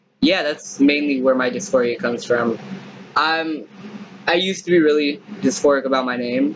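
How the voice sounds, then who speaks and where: A man's fairly high voice at a moderate pace, with lively intonation, long, frequent pauses, and noticeable background noise. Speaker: vlogger. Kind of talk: casual monologue vlog. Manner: halting.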